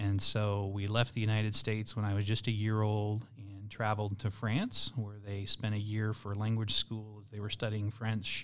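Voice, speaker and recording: A man with an American accent speaks in a fairly low, monotone, flat voice with hardly any pauses. The recording is very clean, with a silent background. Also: moderate pace. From Burkina Faso, West Africa (American missionary family). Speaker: school superintendent. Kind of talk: interview conversation.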